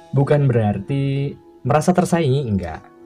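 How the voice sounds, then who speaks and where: A man speaks at a moderate pace with very wide pitch swings, music playing in the background. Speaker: radio broadcaster / voice-over worker, father and husband. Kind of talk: radio program talk, personal advice. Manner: conversational, reflective.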